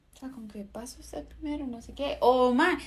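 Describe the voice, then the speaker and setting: Very clean recording, silent background, pitch varying in an ordinary way. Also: woman. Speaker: podcast co-host. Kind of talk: casual chat.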